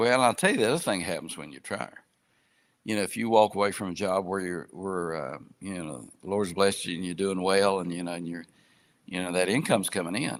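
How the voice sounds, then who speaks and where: At a fairly quick pace, a man with a very deep, low pitch speaks with big swings in loudness. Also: ordinary pitch variation. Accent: Appalachian. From southern West Virginia. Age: 60s. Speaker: retired businessman and gospel group outreach. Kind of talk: interview conversation. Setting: live online podcast.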